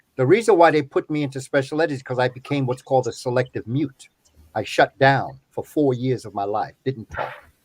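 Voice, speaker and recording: A somewhat breathy man with an American accent speaks at a fairly quick pace and medium pitch with ordinary pitch variation, in a very clean recording with a silent background and a dry, close sound with no echo. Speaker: professor and educator. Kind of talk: interview conversation. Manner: clear and eloquent.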